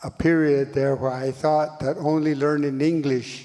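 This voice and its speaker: Over noticeable background noise, a man with a fairly high pitch talks at a fairly slow pace in a monotone, flat intonation. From Northern Cheyenne Reservation, Montana, US. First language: Cheyenne. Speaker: language educator. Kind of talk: panel talk.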